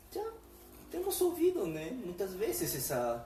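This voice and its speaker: Through audible room echo and noticeable background noise, a man speaks with a Spanish accent. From Peru. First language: Spanish (speaking Portuguese). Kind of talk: religious conversation on live stream. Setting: Facebook live stream. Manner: halting, with fillers.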